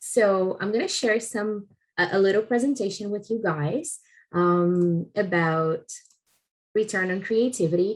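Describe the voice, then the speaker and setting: Using a Portuguese accent, a woman of medium pitch speaks at a fairly slow pace with ordinary pitch variation. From Brazil. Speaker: head of customer experience. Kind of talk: recorded conference talk. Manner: halting, many fillers.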